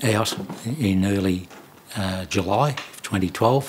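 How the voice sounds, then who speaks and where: Over noticeable background noise, a man with an Australian accent speaks at a fairly low pitch and a fairly slow pace. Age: 70s. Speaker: prostate cancer survivor. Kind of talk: testimony. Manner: halting.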